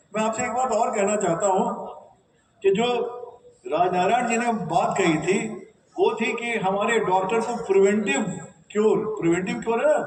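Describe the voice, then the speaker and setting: With audible room echo, a man speaks at a high pitch with ordinary pitch variation and long, frequent pauses. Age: 70s. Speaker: state disaster management official. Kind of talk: speech to trainees.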